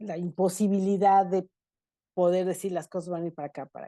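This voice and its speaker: A woman talks in a fairly low, dark, mellow voice with flat, monotone intonation. The background is quiet. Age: 60s. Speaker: energy analyst. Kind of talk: webinar panel discussion.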